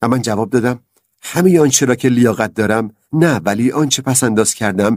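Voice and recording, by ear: Someone reads aloud in a natural voice, the pitch varying in an ordinary way. Behind it, all is quiet.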